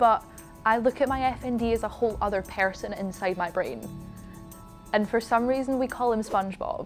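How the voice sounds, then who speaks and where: Over music in the background, a woman with a British accent speaks at a fairly high pitch with ordinary pitch variation. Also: fairly quick pace. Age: young. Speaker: dance student and competitive figure skater. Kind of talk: interview answer. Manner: casual.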